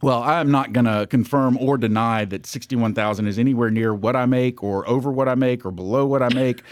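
A man with a plain, everyday voice of medium pitch talks at a fairly quick pace with fairly even intonation and hardly any pauses. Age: 50s. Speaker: podcast co-host, financial advisory firm. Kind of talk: casual chat.

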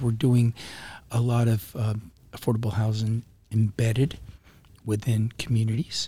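A somewhat breathy, dark and mellow male voice at medium pitch, with an American accent. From Florida. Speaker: county commissioner and politician. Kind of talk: casual interview. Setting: live podcast at a conference. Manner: halting, with frequent repetitions.

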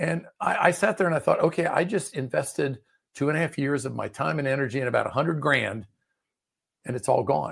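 Using an American accent, a man with vocal fry talks at a fairly quick pace, his fairly high pitch showing ordinary variation. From Maryland, US (Prince George's County, DC suburbs). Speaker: business coach. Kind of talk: interview.

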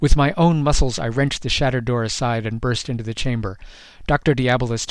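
An unforced reading voice shows ordinary pitch variation.

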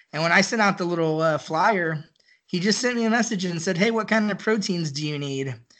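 A man with an American accent speaks in a high pitch at a fairly quick pace. His pitch variation is ordinary, and the background is quiet. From Central Texas (near Austin). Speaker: barbecue enthusiast. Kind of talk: casual chat.

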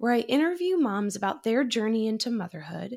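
In a very clean recording with a silent background, a woman with an American accent speaks at a moderate pace, her fairly high pitch making very wide swings. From Massachusetts. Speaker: actor and podcast host. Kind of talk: interview conversation.

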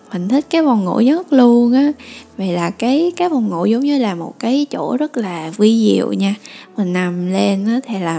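Speaking at a fairly slow pace, a woman with a fairly high pitch makes very wide pitch swings against noticeable background noise. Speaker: YouTuber hosting a talk radio segment. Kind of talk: casual monologue sharing life advice.

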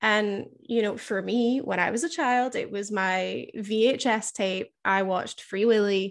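Over a quiet background, a plain, everyday voice moves at a fairly slow pace with hardly any pauses and ordinary pitch variation. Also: woman, fairly high pitch for a woman. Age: 20s. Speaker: podcast host and killer whale trainer. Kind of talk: interview.

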